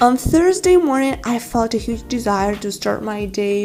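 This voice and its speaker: A woman with a Ukrainian accent over noticeable background noise. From Ukraine. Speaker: vlogger. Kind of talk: scripted narration.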